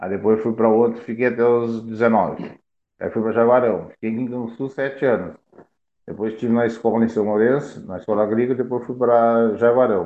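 A man's medium-pitched voice, monotone and flat in intonation, at a fairly quick pace. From Rio Grande do Sul, Brazil (Piratini). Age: 50s. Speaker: former amateur football player. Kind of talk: interview, life story.

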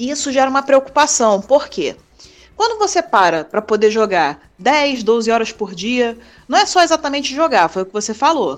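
A woman speaks high in pitch at a moderate pace. Her voice makes very wide pitch swings and big swings in loudness. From Brazil, Rio de Janeiro city. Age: 30s. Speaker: sports nurse. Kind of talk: interview. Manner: casual.

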